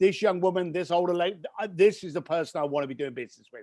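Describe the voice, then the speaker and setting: A man's high voice in a British accent, animated in tone. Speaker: entrepreneur and author. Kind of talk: interview conversation. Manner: fast.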